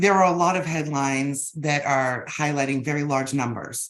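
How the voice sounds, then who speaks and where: Her pitch is very deep and low, and her pitch variation is ordinary. The woman speaks at a fairly quick pace in a Boston accent. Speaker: business intelligence executive. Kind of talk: webinar interview.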